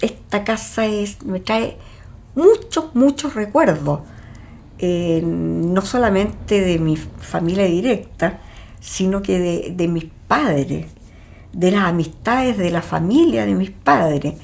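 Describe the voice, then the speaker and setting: This woman talks at a very slow pace. Her intonation is lively. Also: medium pitch for a woman. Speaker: homeowner in documentary. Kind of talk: documentary interview.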